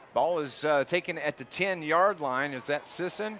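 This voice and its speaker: A man with a plain, everyday voice and a fairly high pitch talks at a moderate pace. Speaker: play-by-play radio announcer. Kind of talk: live sports commentary.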